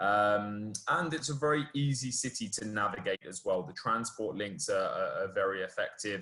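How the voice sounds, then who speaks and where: This man has a British accent and a bright, sharp tone. He talks at a moderate pace with a medium pitch. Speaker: university student recruiter. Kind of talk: webinar presentation.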